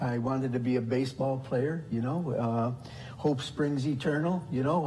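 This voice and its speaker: The speech moves at a fairly quick pace with fairly even intonation. Noticeable background noise and audible room echo fill the recording. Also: man. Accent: American. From US Midwest, south side of Chicago. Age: 60s. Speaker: deacon. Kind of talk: testimony. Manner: halting, many fillers.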